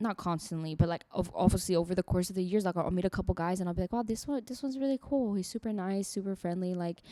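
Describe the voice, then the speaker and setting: A woman with a non-native accent talks at a very fast pace with hardly any pauses. Her voice is medium-pitched and dark and mellow in tone, with ordinary pitch variation. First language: not English. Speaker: podcast co-host. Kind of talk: casual chat.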